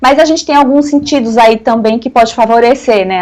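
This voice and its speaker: A woman is speaking. Her pitch sits fairly high. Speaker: lawyer and conservative political commentator. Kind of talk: radio interview. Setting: radio studio interview. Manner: fast.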